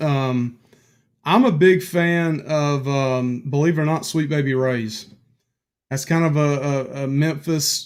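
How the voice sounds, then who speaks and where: With a Southern US accent, a man speaks in a fairly high pitch with ordinary pitch variation. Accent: Southern drawl. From North Carolina, Piedmont. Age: 40s. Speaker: guest. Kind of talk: casual chat. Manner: hesitant, filler-heavy.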